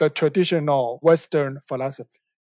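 With a Taiwanese accent, a man is speaking. The sound is dry and close, with no echo. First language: Mandarin or Taiwanese. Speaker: documentary film director. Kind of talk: interview. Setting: podcast recording. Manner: careful, hesitant non-native English.

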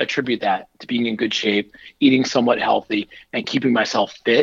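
Over a dry, close sound with no echo, a man with an American accent and an ordinary speaking voice talks at a moderate pace with lively intonation. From northern New Jersey, US. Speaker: keynote speaker and author, cancer survivor. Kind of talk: interview testimony.

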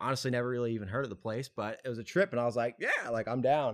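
A man talks with a Louisiana accent at a medium pitch. His intonation is fairly even. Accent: Louisiana Southern US. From Louisiana (Tangipahoa Parish). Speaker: clothing brand co-founder. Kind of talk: casual interview.

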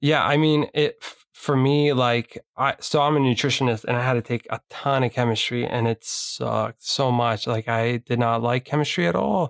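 A man with an unremarkable speaking voice talks at a moderate pace and medium pitch, with ordinary pitch variation, hardly any pauses and very even loudness, on a very clean recording with a silent background and a dry, close sound with no echo. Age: 20s. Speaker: podcast host and nutritionist. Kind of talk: casual interview.

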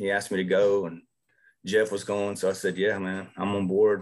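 A man speaks with an East Texas accent at a moderate pace. His intonation stays fairly even over a quiet background. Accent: East Texas Southern US. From southeast Texas. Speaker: high school football coach. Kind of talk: casual interview about coaching technique.

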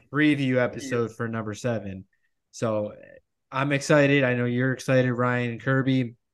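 A man with a plain, everyday voice, medium pitch, moderate pace and fairly even intonation. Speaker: podcast host. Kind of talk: casual sports podcast discussion.

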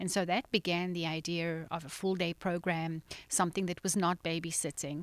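Recorded very cleanly with a silent background, a woman speaks at a fairly low pitch with a South African accent. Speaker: nonprofit founder. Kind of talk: casual interview. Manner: laughs easily.

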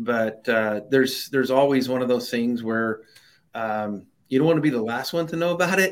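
This man has an unremarkable speaking voice, medium in pitch with ordinary pitch variation, and he talks at a fairly quick pace. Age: middle-aged. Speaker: risk management company founder. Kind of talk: interview.

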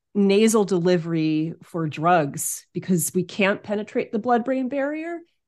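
A woman with an American accent at a very slow pace, against a quiet background. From US Northeast, Hudson Valley of New York. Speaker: aromatherapist. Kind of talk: interview.

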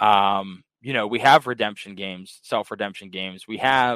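With an American accent, a man speaks in an ordinary speaking voice, pitched fairly low, at a fairly slow pace with fairly even intonation. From Pittsburgh, Pennsylvania. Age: 30s. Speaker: arcade owner. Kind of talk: casual chat.

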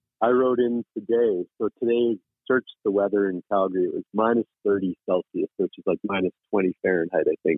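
A man speaks at a fairly low pitch in an unremarkable speaking voice. His pace is moderate and his intonation fairly even. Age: 40s. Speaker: company founder and adaptive athlete. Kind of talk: interview.

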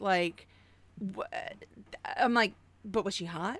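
In an American accent, a woman with a normal speaking voice talks at a moderate pace. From Oklahoma. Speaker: podcast host. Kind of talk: casual chat.

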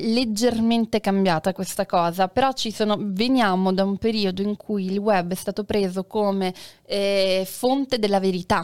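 Speaking in an ordinary speaking voice, a woman talks at a fairly slow pace with a fairly high pitch, in a very clean recording with a silent background and a dry, close sound with no echo. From Sicily, Taormina. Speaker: actress and satirical web performer. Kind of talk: casual chat. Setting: live stream.

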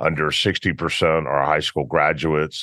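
In a Memphis accent, a man speaks at a very deep, low pitch. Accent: US Southern (Memphis). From Memphis, Tennessee. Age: 50s. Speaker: football coach and business owner. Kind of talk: interview conversation.

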